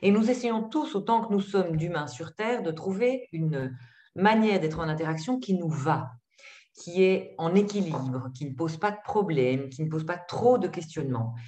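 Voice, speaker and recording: In a room with audible echo, a woman with a fairly low pitch speaks at a moderate pace with very wide pitch swings. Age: 50s. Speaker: psychologist and trainer. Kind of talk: webinar presentation. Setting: video call.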